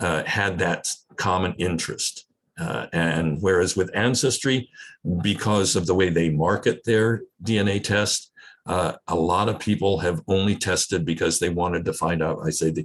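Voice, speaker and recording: With an American accent, a man talks at a fairly slow pace in a very deep, low pitch with ordinary pitch variation. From United States. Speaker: genealogy society host. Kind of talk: video call meeting discussion. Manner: halting.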